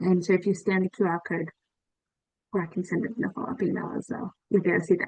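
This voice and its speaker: A woman with an Australian accent, recorded dry and close with no echo. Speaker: event host, invasive species society staff. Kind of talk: online presentation wrap-up. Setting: video call.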